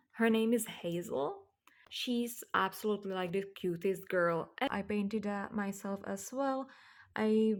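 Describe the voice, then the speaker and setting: Speaking with a non-native accent, a woman uses a medium pitch with ordinary pitch variation. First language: not English. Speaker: doll hobby vlogger. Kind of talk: casual show-and-tell vlog. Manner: casual with many fillers.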